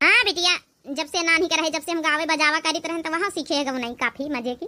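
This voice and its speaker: In a cartoonish character voice, a woman speaks very fast at an extremely high pitch. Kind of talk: cartoon village comedy. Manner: homely and conciliatory.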